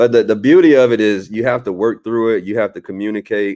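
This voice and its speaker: Speaking in a fairly low voice, a man shows ordinary pitch variation. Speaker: channel host. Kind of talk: casual chat. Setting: Facebook live stream. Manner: animated.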